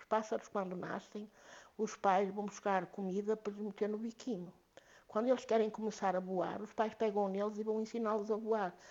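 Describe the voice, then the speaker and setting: The speech moves at a moderate pace with big swings in loudness. Its intonation stays monotone and flat. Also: woman, medium pitch for a woman. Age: 70s. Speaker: activist mother. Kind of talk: podcast interview.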